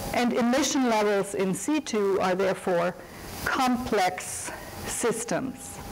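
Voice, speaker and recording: With a German accent, the speaker uses lively intonation at a very slow pace amid noticeable background noise and audible room echo. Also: woman, fairly high pitch for a woman. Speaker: economics professor and academic administrator. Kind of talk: lecture. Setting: seminar room with audience. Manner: formal.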